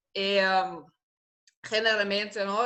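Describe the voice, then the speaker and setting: Bright and sharp in tone, this voice moves at a fairly slow pace in a Portuguese accent. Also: woman. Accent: Portuguese-tinged Spanish. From Germany. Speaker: researcher and political advisor. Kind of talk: interview conversation. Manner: halting, many fillers.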